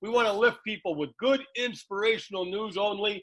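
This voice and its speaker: A man with a high pitch, a bright, sharp tone and a moderate pace. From Canada. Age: 60s. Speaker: football coach and podcast host. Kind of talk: interview. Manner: energetic.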